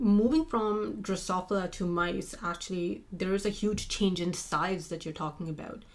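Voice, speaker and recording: At a moderate pace with hardly any pauses, a woman with a non-native accent speaks at a medium pitch and ordinary pitch variation. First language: not English. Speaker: postdoctoral researcher in immunology. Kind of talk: interview.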